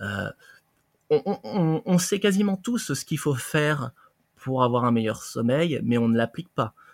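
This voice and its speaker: With long, frequent pauses, a fairly high-pitched man speaks at a fairly slow pace with very wide pitch swings, recorded dry and close with no echo against a silent background. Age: 30s. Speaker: reflexologist. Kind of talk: interview.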